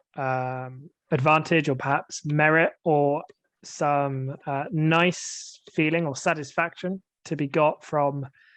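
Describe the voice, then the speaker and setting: Fairly even in intonation, a man with a British accent speaks at a fairly high pitch. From England. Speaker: English teacher. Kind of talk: casual discussion.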